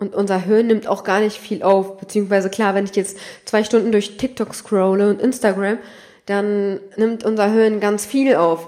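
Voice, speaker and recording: This woman has a normal speaking voice, pitched fairly high, and talks at a moderate pace. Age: 20s. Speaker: solo podcast host. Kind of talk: casual monologue.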